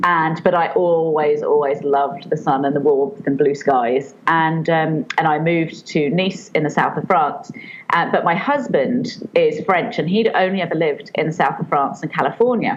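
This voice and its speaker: Against noticeable background noise, a woman with a British accent talks at a moderate pace with hardly any pauses, a fairly low pitch and lively intonation. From England. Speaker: children's author and online entrepreneur. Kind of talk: podcast interview. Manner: hesitant, many fillers.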